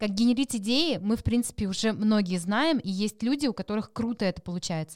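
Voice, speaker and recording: Her fairly high voice races along at a very fast pace with lively intonation. It sounds dry and close, with no echo. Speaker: podcast host. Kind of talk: interview.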